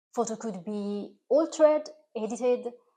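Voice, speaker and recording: A woman speaks with an Italian accent and lively intonation. Her tone is dark and mellow, and her pace is moderate. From Italy. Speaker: recipe video creator. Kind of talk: direct-to-camera talk. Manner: slightly halting, non-native.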